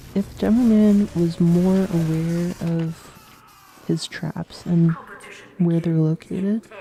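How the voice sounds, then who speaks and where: A soft-spoken woman talks very slowly at a fairly low pitch. Her intonation stays fairly even. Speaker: game developer streamer. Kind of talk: live stream Q&A. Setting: live stream while gaming. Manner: quiet.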